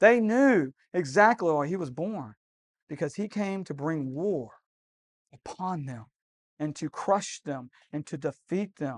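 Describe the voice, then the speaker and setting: Animated and warm in tone, a man speaks with lively intonation at a high pitch and a fairly slow pace. The sound is dry and close with no echo, over a quiet background. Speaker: preacher. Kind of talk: sermon to a live congregation, call-and-response. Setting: church candlelight service. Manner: animated, warm, conversational; rhetorical, repeats phrases, prompts audience to say amen.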